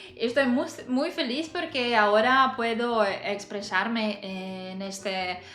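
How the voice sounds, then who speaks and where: A woman with a non-native accent speaks at a very slow pace in a fairly high pitch with ordinary pitch variation, with audible room echo and music in the background. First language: not Spanish (speaking Spanish). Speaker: language learner vlogger. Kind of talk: personal vlog monologue. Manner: halting, many fillers.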